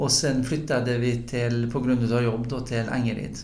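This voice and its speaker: A man at a moderate pace, with audible room echo. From northern Bohuslän, western Sweden. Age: 60s. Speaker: football club chairman and politician. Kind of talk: casual chat.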